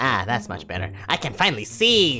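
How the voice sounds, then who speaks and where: A man performs in a put-on character voice at a moderate pace. Background noise is clear. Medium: read story. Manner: snarky.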